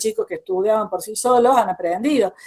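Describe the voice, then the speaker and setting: A woman with an Argentine accent talks at a fairly quick pace. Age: 70s. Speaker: psychologist and education speaker. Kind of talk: online talk.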